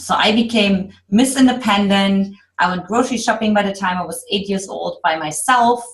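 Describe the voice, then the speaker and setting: A woman at medium pitch and moderate pace, with ordinary pitch variation and a German accent. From Eastern Germany. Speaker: love coach. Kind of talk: podcast interview.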